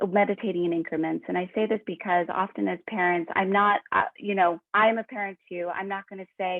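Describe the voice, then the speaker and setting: A woman with an unremarkable speaking voice, at a medium pitch and a moderate pace. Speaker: executive coach. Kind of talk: webinar talk.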